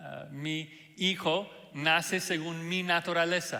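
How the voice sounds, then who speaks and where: A man with a non-native accent speaks in a high pitch with monotone, flat intonation, and audible room echo surrounds his voice. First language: not Spanish (speaking Spanish). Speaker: pastor. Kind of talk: sermon. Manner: hesitant fillers (ah, eh).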